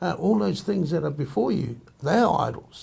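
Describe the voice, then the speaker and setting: With vocal fry and a dark, mellow tone, a man talks at a fairly quick pace. His pitch is fairly high and swings very widely. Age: 60s. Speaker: Māori community member. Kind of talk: group discussion. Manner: halting.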